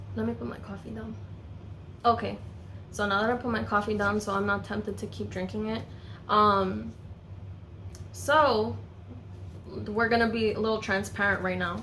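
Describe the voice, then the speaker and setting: A woman pauses long and often, her voice carrying audible room echo. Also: moderate pace. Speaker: small business owner and beauty vlogger. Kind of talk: casual Q&A vlog. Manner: filler-heavy, many um and you know.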